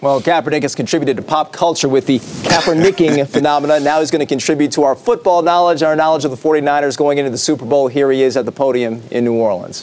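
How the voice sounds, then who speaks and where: A man at a very fast pace, fairly high in pitch with ordinary pitch variation, over light background noise. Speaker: sports anchor and reporter. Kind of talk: TV sports news anchor reel. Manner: lively, analytical.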